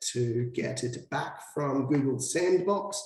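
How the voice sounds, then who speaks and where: Noticeable background noise accompanies a man speaking with a medium pitch in an Australian accent. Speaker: SEO consultant. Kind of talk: tutorial.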